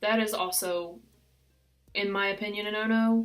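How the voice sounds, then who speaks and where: A woman speaks with a West Virginian accent. Her voice sits at a medium pitch. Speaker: succulent gardener. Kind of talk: casual talk to camera.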